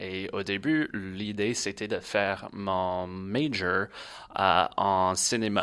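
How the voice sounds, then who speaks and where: In an English accent, this bright, sharp voice moves at a very slow pace with ordinary pitch variation, on a very clean recording with a silent background. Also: man, fairly low pitch for a man. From Louisiana, Baton Rouge. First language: English (speaking French). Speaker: agency worker, former scholarship holder. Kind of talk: casual podcast interview. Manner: hesitant, many fillers.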